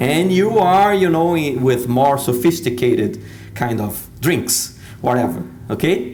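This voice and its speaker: A man speaks amid noticeable background noise. Audible room echo surrounds the voice. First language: Portuguese. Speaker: speaker. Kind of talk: talk to an audience. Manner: halting.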